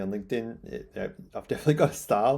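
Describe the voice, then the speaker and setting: Talking at a very fast pace, a man with an Australian accent uses ordinary pitch variation. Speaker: newsletter writer. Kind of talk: casual vlog talk. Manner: excitable.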